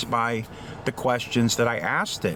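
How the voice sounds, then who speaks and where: Fairly slow speech from a man, with noticeable background noise underneath. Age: 50s. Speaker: AI literacy advocate. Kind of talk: casual talk to camera.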